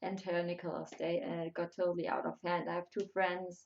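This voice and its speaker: Speaking with a German accent, a woman keeps a moderate pace and fairly even intonation. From Germany. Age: 20s. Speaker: YouTuber. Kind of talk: live stream chat. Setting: live stream. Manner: halting.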